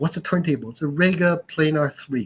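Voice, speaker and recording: This man's voice is somewhat breathy, with fairly even intonation. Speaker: audio expert and store owner. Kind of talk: casual chat. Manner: calm, sleep-inducing.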